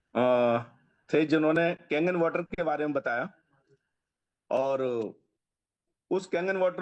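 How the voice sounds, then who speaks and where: A man's voice with ordinary pitch variation and long, frequent pauses. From Delhi, India. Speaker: customer giving a testimonial. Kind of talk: testimony.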